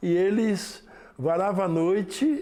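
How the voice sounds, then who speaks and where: A man speaks at a high pitch with a dark, mellow tone. There is audible room echo. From Brazil, São Paulo state (Lavínia). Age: 70s. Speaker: samba school master. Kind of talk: documentary interview.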